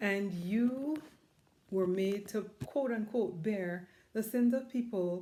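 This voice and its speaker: A woman speaks at a very slow pace in a dark, mellow tone, her loudness very even and her pitch varying in an ordinary way. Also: medium pitch for a woman. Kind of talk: casual talk to camera. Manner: reflective, earnest, conversational.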